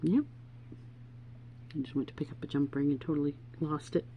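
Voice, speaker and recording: A woman speaks in a somewhat breathy voice. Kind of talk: tutorial. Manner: casual, chatty.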